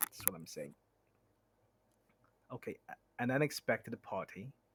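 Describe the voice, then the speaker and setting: A man with a non-native accent and very wide pitch swings, in a dry, close sound with no echo on a very clean recording with a silent background. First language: not English. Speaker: streamer. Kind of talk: reading aloud; casual chat. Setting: live stream. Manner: halting.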